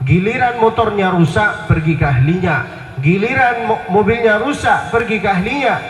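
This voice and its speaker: Audible room echo and noticeable background noise surround a man's voice. He speaks at a fairly slow pace with lively intonation. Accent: Arabic. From Saudi Arabia (Mecca). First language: Arabic (speaking Indonesian). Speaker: Islamic preacher. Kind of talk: religious lecture. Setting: outdoor public square event with audience.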